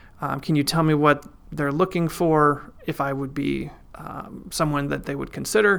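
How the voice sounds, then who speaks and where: A man with a Midwestern American accent, moderate pace and monotone, flat intonation. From Iowa, US Midwest. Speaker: financial planner and mayor. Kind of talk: interview.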